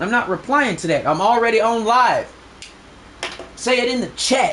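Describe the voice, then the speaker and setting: Loud and animated, the voice moves at a moderate pace with ordinary pitch variation over noticeable background noise. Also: man, extremely high pitch for a man. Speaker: gaming streamer. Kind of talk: live stream rant.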